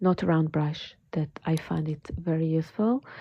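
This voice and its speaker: Soft-spoken and very deep in pitch, a woman with an American accent talks over a quiet background. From California. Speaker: watercolor art teacher. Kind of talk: live painting tutorial. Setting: home art studio, livestream. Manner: slow.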